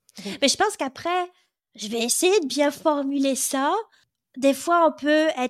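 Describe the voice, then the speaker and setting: A woman speaks at a fairly slow pace in a high pitch. The recording is very clean, with a silent background. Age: 40s. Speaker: podcast host. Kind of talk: interview conversation.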